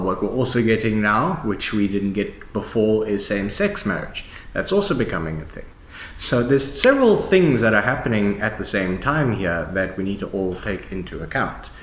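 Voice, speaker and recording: A man speaks at a fairly low pitch with ordinary pitch variation and a moderate pace. Room echo is audible. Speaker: discussion host. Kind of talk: conversational explanation. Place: hall.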